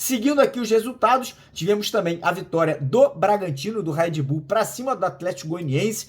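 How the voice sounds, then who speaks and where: A man with a high pitch talks in an animated tone with lively intonation and hardly any pauses. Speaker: football news youtuber. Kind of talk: casual news commentary. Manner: fast.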